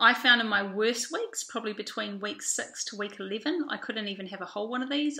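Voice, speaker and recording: A woman with a New Zealand accent, medium pitch and a fairly quick pace. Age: 30s. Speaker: vlogger. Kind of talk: video diary. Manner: hesitant, many fillers.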